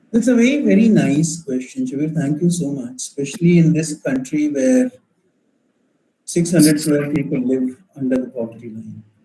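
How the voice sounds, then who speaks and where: A man speaks at a moderate pace with a fairly high pitch and very wide pitch swings. His tone is dark and mellow, and somewhat breathy. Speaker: entrepreneur and startup mentor. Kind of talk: Q&A in an online workshop.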